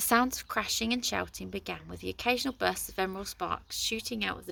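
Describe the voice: What's heard is plain reading aloud.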